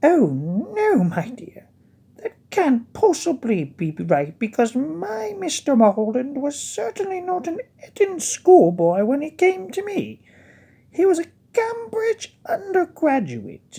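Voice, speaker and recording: A high-pitched, put-on character voice moves at a fairly slow pace with very wide pitch swings. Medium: read story. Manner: doting, cooing.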